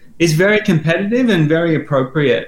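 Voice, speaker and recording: A fairly high-pitched man with an Australian accent at a moderate pace. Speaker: learning software company guest. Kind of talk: podcast interview.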